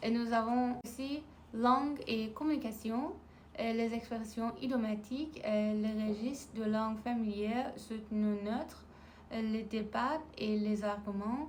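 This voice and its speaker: Fairly even intonation is heard over audible room echo. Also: woman, fairly high pitch for a woman, moderate pace. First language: Farsi. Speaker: language-learning vlogger. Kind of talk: casual vlog talk; reading out topic list in French. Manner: halting with fillers.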